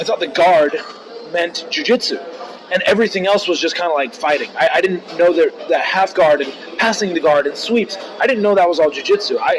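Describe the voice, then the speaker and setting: Fairly quick speech with an American accent and ordinary pitch variation, over noticeable background noise. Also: man, high pitch for a man. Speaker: martial artist. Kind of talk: interview.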